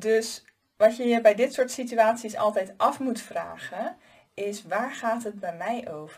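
A woman speaks very slowly in a somewhat breathy, fairly high voice with ordinary pitch variation. Her loudness swings widely. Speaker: life coach and podcast host. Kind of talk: solo advice monologue. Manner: casual, conversational with filler words.

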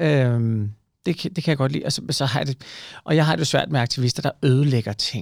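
A man with an unremarkable speaking voice talks at a medium pitch and moderate pace, with ordinary pitch variation, on a very clean recording with a silent background. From provincial Denmark. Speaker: podcast host. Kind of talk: casual chat.

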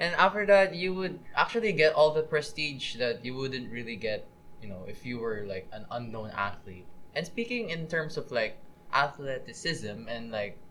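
Over noticeable background noise, a man at a fairly high pitch and moderate pace makes very wide pitch swings and big swings in loudness. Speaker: student podcast co-host. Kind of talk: casual chat.

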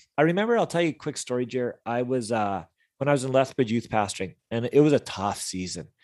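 A man with a Canadian accent talks at a very fast pace in a medium pitch, his intonation lively. The background is quiet. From British Columbia, Canada. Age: 40s. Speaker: youth ministry leader. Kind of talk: casual interview chat.

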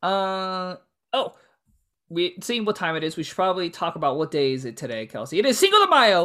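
The tone is bright and sharp, with very wide pitch swings and a fairly quick pace. The recording is very clean, with a silent background. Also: woman, medium pitch for a woman. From US, Mexican American family. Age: 20s. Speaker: podcast co-host. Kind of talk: casual chat. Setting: home studio. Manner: animated.

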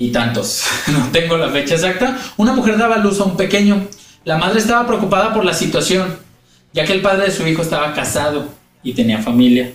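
Talking at a fairly quick pace, this man has a high pitch for a man and very wide pitch swings, with noticeable background noise and audible room echo. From Mexico, Guadalajara (Jalisco). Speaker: podcast co-host. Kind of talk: storytelling narration; casual comedic chat.

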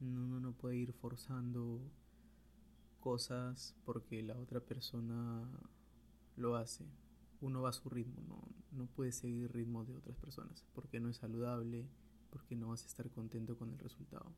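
At a moderate pace, a man with a somewhat breathy, medium-pitched voice and fairly even intonation leaves long, frequent pauses. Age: 20s. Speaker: podcaster, architect and photographer. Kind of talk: solo monologue podcast. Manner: halting, with frequent repetitions.

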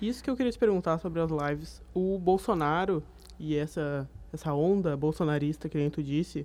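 Dark and mellow in tone, a woman with a fairly low pitch and ordinary pitch variation talks at a moderate pace. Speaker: student journalist, interviewer. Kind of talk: radio interview hosting.

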